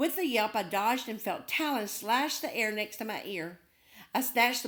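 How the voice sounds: What you hear is a natural reading voice.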